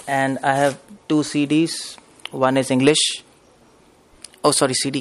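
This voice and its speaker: With an Indian accent, a man talks at a medium pitch. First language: Hindi. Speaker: spiritual preacher. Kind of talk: lecture. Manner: fast.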